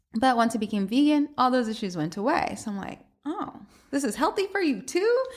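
Speaking fairly quickly in an American accent, a woman uses a high pitch with very wide pitch swings. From US South, Atlanta. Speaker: cookbook author and food blogger. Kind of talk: casual interview.

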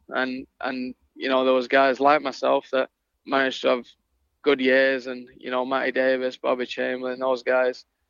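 A man of medium pitch speaks at a moderate pace with a northern English accent. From northern England. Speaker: ice hockey head coach. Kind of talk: interview.

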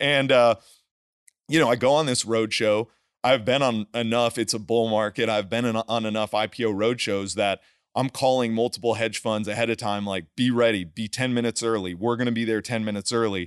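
Speaking in a plain, everyday voice with an American accent, a man talks at medium pitch and a fairly quick pace with fairly even intonation. The sound is dry and close with no echo, over a quiet background. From New Jersey. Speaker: energy investor and former investment banker. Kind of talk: casual interview chat.

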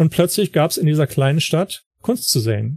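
The man's voice is fairly high in pitch yet dark and mellow, and somewhat breathy. The sound is dry and close, with no echo. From northern Germany, Wilhelmshaven. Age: 50s. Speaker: photography blogger and writer. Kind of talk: interview. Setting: online call.

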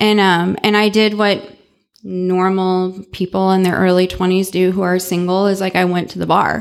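At a fairly slow pace, a woman speaks at a medium pitch in an ordinary speaking voice. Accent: American. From US Midwest, St. Louis, Missouri. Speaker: recovering alcoholic speaker. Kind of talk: recovery talk to a live audience. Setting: event with live audience.

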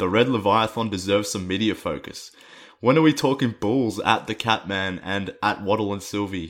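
Ordinary pitch variation at a moderate pace. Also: man, fairly low pitch for a man. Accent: Australian. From Australia. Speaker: sports podcast host. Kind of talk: casual chat. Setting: remote call.

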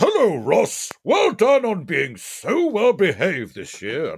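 A man puts on a character voice and speaks at a fairly slow pace. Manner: jolly, warm.

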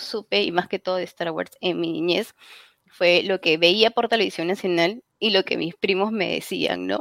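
Speaking at a fairly slow pace, a woman uses vocal fry in a dry, close recording with no echo. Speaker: fan website editor. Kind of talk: casual chat.

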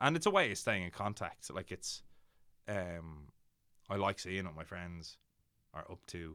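Very deep and low, a man's voice with a bright, sharp tone and a Dublin accent moves at a fairly slow pace with long, frequent pauses and ordinary pitch variation. The recording is very clean, the background silent. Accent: Dublin Irish. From Ireland, Dublin. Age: 20s. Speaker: actor and writer. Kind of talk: casual chat.

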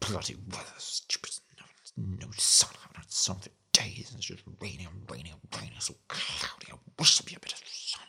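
A man whispers in a put-on character voice with a rumbling quality. He keeps a moderate pace. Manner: grumbling, complaining.

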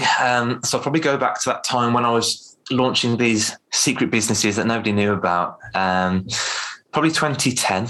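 This man speaks at a medium pitch with an English Midlands accent and a bright, sharp tone. His pace is moderate and his loudness stays very even. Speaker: public speaking coach. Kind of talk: casual interview. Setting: video call.

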